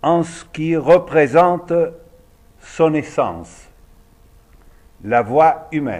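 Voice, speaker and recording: A man with a fairly high pitch talks in an Argentine accent. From Argentina. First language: Spanish (speaking French). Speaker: opera singer and voice teacher. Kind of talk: lecture.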